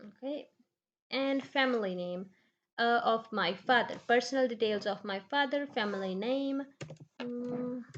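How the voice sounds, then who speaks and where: A woman speaks at a fairly slow pace in a high voice, with ordinary pitch variation. Her pauses are long and frequent. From Punjab, India. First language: Punjabi. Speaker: immigration tutorial creator. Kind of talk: tutorial. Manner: halting.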